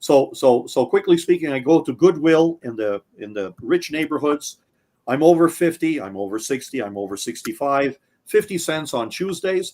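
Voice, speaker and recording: This man's voice sits fairly high, with lively intonation, big swings in loudness and a moderate pace. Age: 50s. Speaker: audio equipment maker. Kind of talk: casual chat. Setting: live stream. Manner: animated.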